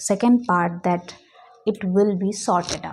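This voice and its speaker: A woman with an Indian accent speaks at a very slow pace, somewhat breathy, with medium pitch and fairly even intonation. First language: Hindi. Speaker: English teacher. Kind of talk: tutorial. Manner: halting.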